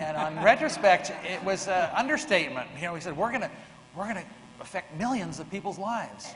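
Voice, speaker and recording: With audible room echo and noticeable background noise, a man talks at a fairly quick pace, his high pitch lifted by lively intonation. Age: 60s. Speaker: software engineer and early computer team member. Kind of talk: panel discussion. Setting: stage with audience.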